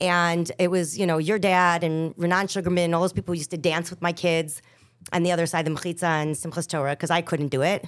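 A woman with an American accent and a fairly low pitch, talking very fast on a very clean recording with a silent background. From Chicago, West Rogers Park. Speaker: singer. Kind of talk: casual chat.

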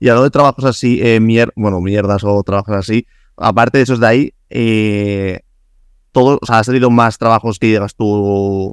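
In a Spanish accent, a man speaks at a moderate pace with a fairly low pitch, fairly even intonation and very even loudness, recorded with a dry, close sound and no echo. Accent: Peninsular Spanish. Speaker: podcast host. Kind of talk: casual interview chat.

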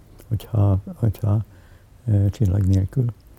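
Dry, close audio with no echo carries a man's voice, fairly low in pitch. His tone is dark and mellow, somewhat breathy, with fairly even intonation. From Hungary, Budapest. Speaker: editor and politician. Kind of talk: interview, personal reminiscence. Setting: at home in his apartment. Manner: halting, many filler sounds and repetitions.

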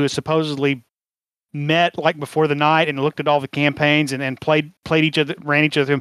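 With an ordinary speaking voice, a man talks at a fairly quick pace and fairly high pitch in a dry, close sound with no echo. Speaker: podcast host and panelist. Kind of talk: casual panel discussion.

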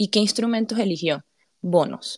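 At a fairly slow pace, a woman talks with ordinary pitch variation in a dry, close sound with no echo. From Panama. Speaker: crypto community podcast host. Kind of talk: monologue explainer on live audio space. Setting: live audio space.

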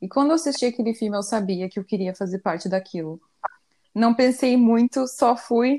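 The recording is dry and close, with no echo. A woman speaks in an ordinary speaking voice at a fairly high pitch, with ordinary pitch variation and a moderate pace. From Brazil, Curitiba. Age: 20s. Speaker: podcast co-host. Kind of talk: casual chat.

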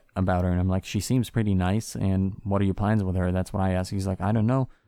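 Speaking at a very fast pace, a man with a fairly low pitch and a dark, mellow tone shows ordinary pitch variation in a very clean recording with a silent background. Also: hardly any pauses, very even loudness. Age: 20s. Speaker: podcast co-host. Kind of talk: casual chat.

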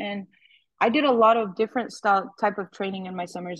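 With an American accent and an ordinary speaking voice, a woman talks at a fairly quick pace in a medium pitch with fairly even intonation, the sound dry and close with no echo. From Arizona (Yuma). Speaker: softball coach. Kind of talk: interview. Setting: phone call.

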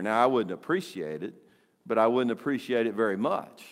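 A man talks in a normal speaking voice, medium in pitch, with ordinary pitch variation. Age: 60s. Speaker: pastor. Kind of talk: sermon. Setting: church.

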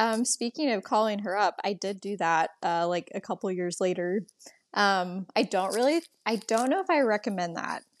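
In a normal speaking voice, a woman talks at a moderate pace with a medium pitch and ordinary pitch variation, the sound dry and close with no echo. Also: quiet background. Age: 20s. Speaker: nonprofit operations worker. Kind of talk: casual chat.

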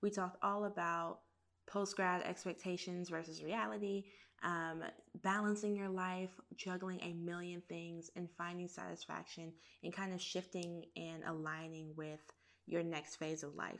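This woman has a normal speaking voice at a fairly low pitch. She talks at a moderate pace with fairly even intonation. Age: 20s. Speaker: podcast host. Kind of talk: casual chat.

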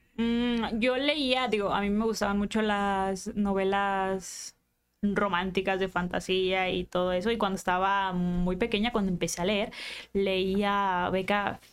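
With music in the background, a woman speaks fairly slowly at a medium pitch. Her intonation is fairly even and her loudness very even. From Culiacán, Sinaloa, Mexico. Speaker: content creator and writer. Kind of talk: casual interview.

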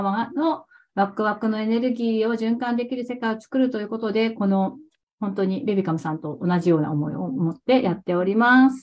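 The pace runs fairly quick in this somewhat breathy voice, and its pitch varies in an ordinary way. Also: woman. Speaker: cooking teacher. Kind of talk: interview. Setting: video call. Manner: casual, frequent fillers.

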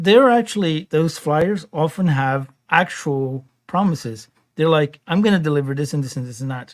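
Here a man speaks in a normal speaking voice at a fairly high pitch. His pace is moderate and his intonation lively. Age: 50s. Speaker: podcast producer and co-host. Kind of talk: casual chat.

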